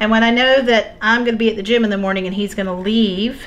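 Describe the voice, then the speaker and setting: Light background noise sits behind a woman speaking in a fairly high pitch. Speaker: homesteading cooking video host. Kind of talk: cooking tutorial. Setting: home kitchen. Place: kitchen.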